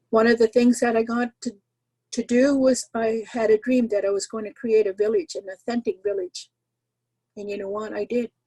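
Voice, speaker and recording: This woman's somewhat breathy voice has a fairly high pitch, a dark, mellow tone and fairly even intonation. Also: moderate pace, big swings in loudness, dry, close sound with no echo. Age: 70s. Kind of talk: talk sharing teachings.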